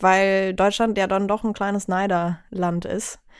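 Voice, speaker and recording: Speaking at a moderate pace, a woman uses a medium pitch and a monotone, flat intonation. The recording is very clean, and the background is silent. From Bavaria, Chiemsee. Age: 20s. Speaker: singer-songwriter. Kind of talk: casual chat. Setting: studio.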